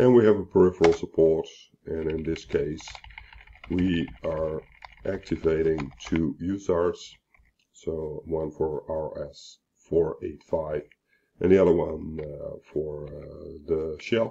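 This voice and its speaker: Pausing long and often, a man speaks at a very slow pace with big swings in loudness. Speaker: embedded software tutorial host. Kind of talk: tutorial. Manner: hesitant, many fillers.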